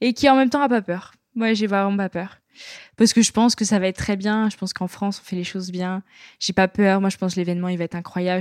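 The recording is very clean, its background silent. A woman talks at a very fast pace. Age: 20s. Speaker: sport shooter. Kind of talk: interview.

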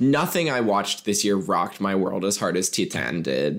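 On a very clean recording with a silent background, a man speaks in a normal speaking voice at a fairly low pitch with lively intonation. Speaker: podcast co-host. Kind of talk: casual chat.

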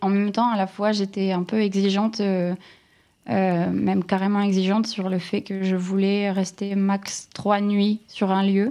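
A woman's dark, mellow voice at medium pitch, with monotone, flat intonation. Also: fairly slow pace. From northern France, Lille area. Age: 30s. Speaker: content creator. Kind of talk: interview. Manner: halting.

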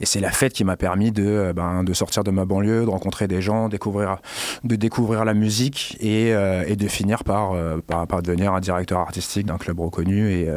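A man's fairly low voice, a normal speaking voice, at a moderate pace with very even loudness and fairly even intonation. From Paris suburbs, Garges-lès-Gonesse. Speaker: club and party organizer. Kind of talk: casual interview.

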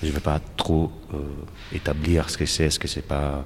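A man with a slight Italian accent speaks at a very deep, low pitch in a monotone with flat intonation. Noticeable background noise runs behind him. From Italy, Naples. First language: Italian (speaking French). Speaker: painter. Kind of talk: interview. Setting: art gallery. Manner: halting, many repetitions.

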